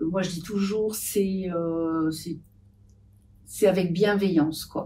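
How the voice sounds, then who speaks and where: This woman's voice sits fairly low and has a dark, mellow tone. She speaks at a very slow pace. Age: 70s. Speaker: patient association volunteer. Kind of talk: podcast interview. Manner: hesitant, many fillers.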